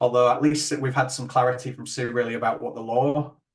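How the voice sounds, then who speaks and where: A man with a Yorkshire accent talks at a very fast pace. His medium-pitched voice is somewhat breathy. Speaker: webinar host. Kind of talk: webinar closing remarks.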